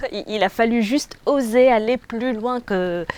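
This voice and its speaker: A woman speaks with ordinary pitch variation. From Tunisia. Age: 30s. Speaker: job seeker. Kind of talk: interview testimony. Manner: hesitant.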